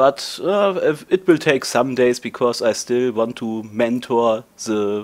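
A man with a German accent speaks at medium pitch with ordinary pitch variation. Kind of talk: casual talk to camera. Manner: hesitant, stuttering.

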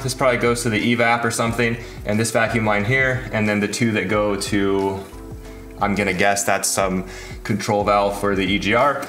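A man at a fairly quick pace, with audible room echo and faint music in the background. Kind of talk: tutorial.

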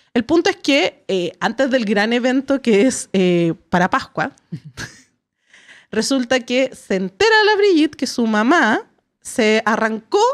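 A woman speaks at a fairly slow pace in a high voice with very wide pitch swings against a quiet background. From Chile. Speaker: podcast host. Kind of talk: casual chat. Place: studio. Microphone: studio mic.

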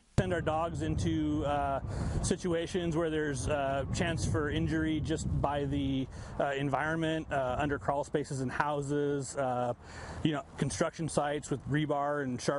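Noticeable background noise sits under a man speaking at a moderate pace with ordinary pitch variation, in a dry sound with no echo. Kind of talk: interview answer. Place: street.

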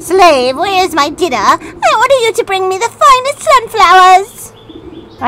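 A shrill, extremely high-pitched put-on character voice at a fairly slow pace, with hardly any pauses. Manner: bossy, demanding.

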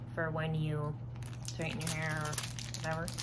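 A woman's voice over noticeable background noise. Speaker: haul vlogger. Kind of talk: casual vlog chat. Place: home room. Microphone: phone near.

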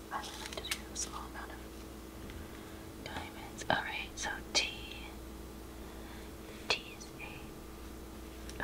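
Very slow speech broken by long, frequent pauses. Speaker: ASMR creator. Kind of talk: ASMR craft narration. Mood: calm, relaxed.

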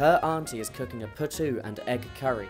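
A man talks with music playing in the background. His pitch rises and falls in an ordinary way. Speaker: travel presenter. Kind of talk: documentary narration.

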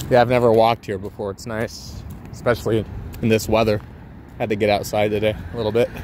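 A man with an American accent, very fast and fairly even in intonation, with long, frequent pauses and noticeable background noise. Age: 20s. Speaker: gaming streamer. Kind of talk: casual solo livestream commentary. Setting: outdoors walking in a port area. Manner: relaxed, filler-heavy.

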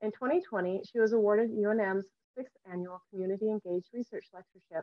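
A woman speaks at a moderate pace with ordinary pitch variation. The sound is dry with no echo, over a quiet background. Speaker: lecture host. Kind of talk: introduction reading a bio. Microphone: video call.

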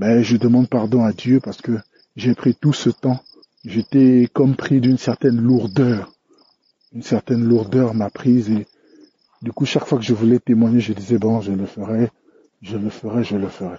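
A somewhat breathy man at a moderate pace, with fairly even intonation and long, frequent pauses. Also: medium pitch for a man. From DR Congo. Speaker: listener giving testimony. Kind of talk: recorded testimony. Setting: recorded on the way home.

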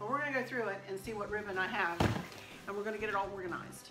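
Clear music plays underneath. Over it, a woman's voice can be heard. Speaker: home decor vlogger. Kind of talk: casual vlog chat. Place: kitchen. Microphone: phone near.

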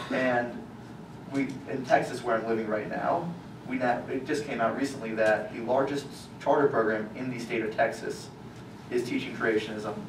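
Noticeable background noise surrounds this recording of a man. He talks at a moderate pace in a medium pitch. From Louisiana. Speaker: activist. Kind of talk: public talk. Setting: stage with audience. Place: hall.

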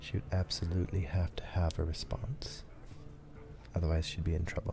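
A man speaks fairly quickly in a very deep, low pitch with ordinary variation, his tone dark and mellow and somewhat breathy. Noticeable noise sits in the background. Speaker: streamer. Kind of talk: casual gameplay commentary. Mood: thoughtful, calm. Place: home room.

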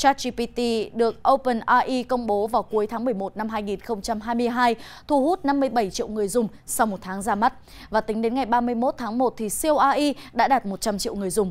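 Her pitch shows ordinary variation. The woman talks at a fairly slow pace. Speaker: news anchor. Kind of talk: news reading. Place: studio.

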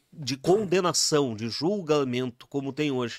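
A man talks at a fairly slow pace in a fairly high pitch, against a quiet background. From Rio Grande do Sul, Brazil. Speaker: musician; podcast guest. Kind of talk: casual chat. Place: studio. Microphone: studio mic.

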